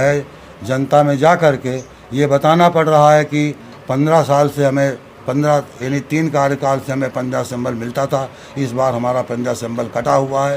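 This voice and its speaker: Over noticeable background noise, a man speaks in a monotone, flat manner. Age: 70s. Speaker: local politician. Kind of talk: press conference. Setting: at a residence, press conference.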